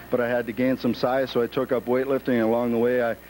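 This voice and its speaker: Someone with an American accent speaks at a very fast pace over noticeable background noise. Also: man. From US, small town. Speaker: professional wrestler. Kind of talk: interview.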